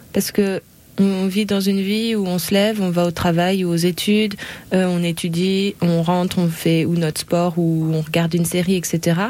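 Over noticeable background noise, a woman talks at a fairly low pitch in a flat monotone. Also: moderate pace. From Cergy, Paris region, France. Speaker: podcast host. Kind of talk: casual chat.

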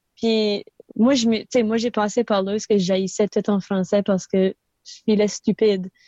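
In a New Brunswick Acadian accent, a woman speaks at a fairly slow pace and medium pitch, her intonation monotone and flat and her loudness very even. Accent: Acadian chiac French. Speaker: musician. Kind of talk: interview. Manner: mixes English into French.

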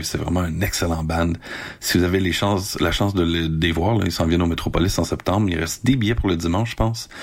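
Noticeable background noise sits behind a man with a very deep, low pitch. He talks fairly quickly with ordinary pitch variation. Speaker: radio host. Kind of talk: casual radio presenting. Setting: home recording.

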